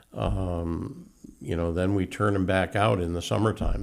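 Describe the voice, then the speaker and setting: A man speaks at a fairly slow pace with a very deep, low pitch and vocal fry. His intonation is lively. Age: 70s. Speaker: horse carriage tour operator. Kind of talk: casual interview. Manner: halting, many fillers.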